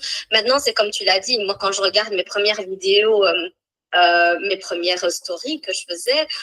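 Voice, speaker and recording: The voice moves at a moderate pace with ordinary pitch variation. The sound is dry and close, with no echo. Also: woman, medium pitch for a woman. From Portugal. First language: Portuguese (speaking French). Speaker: speaker and coach. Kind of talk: casual live interview. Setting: Instagram live. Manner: fluent, with hesitations.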